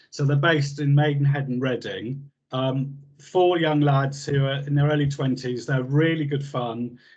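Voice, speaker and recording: In a southern English accent, a man with a fairly high pitch and a somewhat breathy voice talks at a moderate pace. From southern England, New Forest. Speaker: health service trainer. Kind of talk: casual chat.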